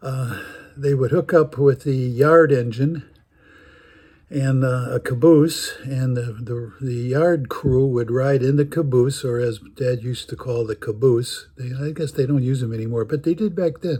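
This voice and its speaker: A man with an American accent speaks fairly slowly at a medium pitch, with ordinary pitch variation. His tone is dark and mellow and somewhat breathy. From US Midwest, Chicago. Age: 80s+. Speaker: storyteller. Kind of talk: storytelling. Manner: halting, many fillers.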